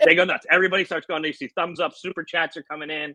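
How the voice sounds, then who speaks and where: Loud and with a bright, sharp tone and vocal fry, a man speaks with an American accent in a dry, close sound with no echo. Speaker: slot machine YouTuber. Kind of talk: casual interview. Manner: animated.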